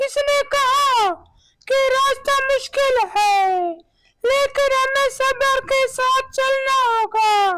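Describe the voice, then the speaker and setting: In a cartoonish character voice, a woman speaks with extremely high pitch at a very slow pace and very even loudness. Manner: earnest, affectionate storyteller.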